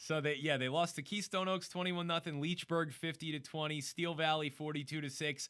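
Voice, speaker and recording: In a very clean recording with a silent background, a man with an American accent speaks at a fairly high pitch in a bright, sharp tone, fairly quick and with hardly any pauses, his intonation fairly even. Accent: New Jersey accent, picking up some Pittsburgh. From northern New Jersey. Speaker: sports radio host. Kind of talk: sports talk show.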